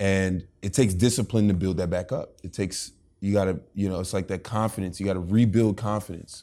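A man speaks in a dark, mellow tone at a fairly quick pace and fairly low pitch. The recording is very clean, with a silent background. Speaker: podcast host. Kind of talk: casual interview chat. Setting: studio. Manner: energetic.

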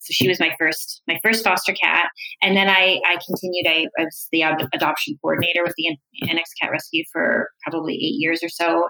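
A woman with a Canadian accent speaks in a plain, everyday voice, fairly low in pitch and fairly quick, with ordinary pitch variation and a dry, close sound with no echo. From Canada, Toronto suburbs. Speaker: biochemist and startup founder. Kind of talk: interview.

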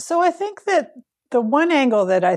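An ordinary speaking voice from a woman at a moderate pace, with ordinary pitch variation and a dry, close sound with no echo. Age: 50s. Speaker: veterinarian and headshot photographer. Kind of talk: casual interview.

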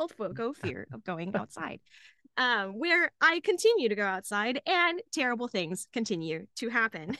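A woman's fairly high voice, bright and sharp in tone, swings very widely in pitch. The sound is dry and close with no echo, over a quiet background. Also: moderate pace. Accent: Texan. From Dallas, Texas. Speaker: comedian. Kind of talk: casual chat. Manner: animated.

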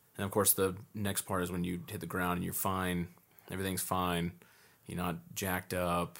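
A man's very deep, low voice at a moderate pace, monotone and flat, on a very clean recording with a silent background. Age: 30s. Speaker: military veteran. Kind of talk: casual chat.

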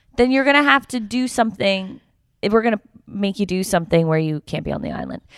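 A woman with a Canadian accent, medium pitch, lively intonation and a very fast pace. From Canada. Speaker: podcast co-host. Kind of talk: casual chat.

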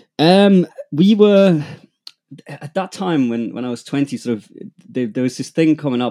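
The sound is close and dry, free of echo. At a moderate pace, a man talks in a dark, mellow tone. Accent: German. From Germany, rural Bavaria. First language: German. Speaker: music producer and manager. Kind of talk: casual interview.

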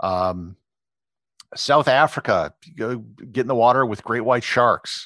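With an Upper Midwest accent, a man of medium pitch speaks very slowly in a bright, sharp tone, with ordinary pitch variation and long, frequent pauses, the sound dry and close with no echo over a quiet background. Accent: Upper Midwest American. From US Midwest, Wisconsin. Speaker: travel blogger and photographer. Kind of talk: interview. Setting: podcast.

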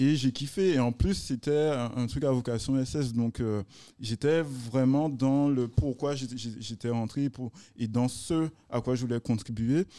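In a very clean recording with a silent background, a man speaks very slowly at a medium pitch with a dark, mellow tone. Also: ordinary pitch variation. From Guadeloupe. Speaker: entrepreneur. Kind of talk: casual interview chat. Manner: halting, repeats words.

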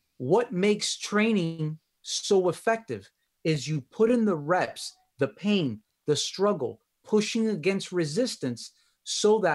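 A man with a Miami accent, high-pitched and lively, at a fairly slow pace with long, frequent pauses, on a very clean recording with a silent background. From Miami, Florida. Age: 30s. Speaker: relationship coach and physical therapist. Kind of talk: interview conversation.

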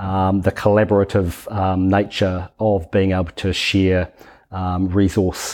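A man with a New Zealand accent speaks at a very deep, low pitch in a monotone, flat intonation. The recording is very clean with a silent background. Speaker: software company founder. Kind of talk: casual interview.

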